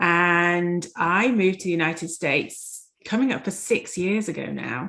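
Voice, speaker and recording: A Yorkshire accent with a bright, sharp tone, ordinary pitch variation and a fairly slow pace, against a quiet background. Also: woman, fairly low pitch for a woman. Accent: English (Yorkshire) accent, noticeable. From Yorkshire, England. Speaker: dentist and life coach. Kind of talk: interview.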